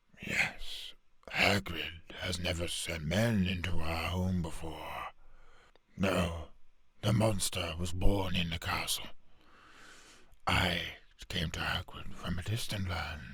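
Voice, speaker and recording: In a raspy, put-on character voice with a very deep, low pitch, a man talks at a fairly slow pace with long, frequent pauses. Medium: solo performance. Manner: slow, solemn.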